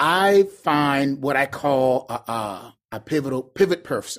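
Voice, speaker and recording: The audio is very clean, and the background is silent. A man talks with lively intonation. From Charleston, South Carolina. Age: 30s. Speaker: urban youth pastor. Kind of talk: casual chat.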